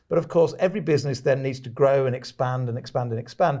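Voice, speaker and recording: In a British accent, the speaker races along at a very fast pace, somewhat breathy, with a dark, mellow tone and fairly even intonation. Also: man, very clean recording, silent background. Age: 50s. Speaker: podcast host and author. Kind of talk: interview.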